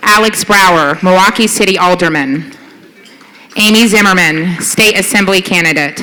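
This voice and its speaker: A woman with an American accent at a moderate pace, ordinary pitch variation, noticeable background noise. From US South. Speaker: nonprofit board president. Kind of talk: gala award presentation. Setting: stage at gala dinner with audience.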